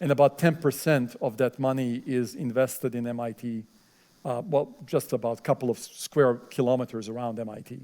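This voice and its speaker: A man with a non-native accent speaks at a moderate pace in a dark, mellow tone of medium pitch, his intonation fairly even while his loudness swings widely. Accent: foreign accent, fluent English. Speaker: professor. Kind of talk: lecture Q&A. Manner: hesitant, many fillers.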